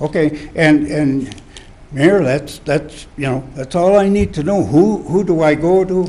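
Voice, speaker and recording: Over noticeable background noise and audible room echo, a man speaks fairly slowly in a fairly high-pitched voice with ordinary pitch variation. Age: 70s. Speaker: citizen speaking at public comment. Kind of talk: public comment at council meeting. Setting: city council chamber. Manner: halting, repeats himself.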